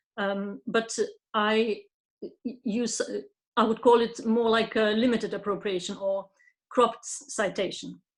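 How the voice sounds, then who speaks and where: A woman with a Lithuanian accent speaks very slowly at a fairly high pitch in a flat monotone. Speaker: poet. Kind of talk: panel discussion. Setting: pre-recorded online event. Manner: halting, many fillers.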